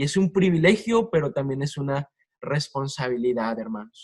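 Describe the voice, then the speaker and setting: The man's fairly high voice is somewhat breathy, and his intonation is lively. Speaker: preacher. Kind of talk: sermon.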